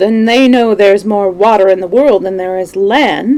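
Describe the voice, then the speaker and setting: A shrill, put-on character voice at a fairly high pitch and a moderate pace. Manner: petulant.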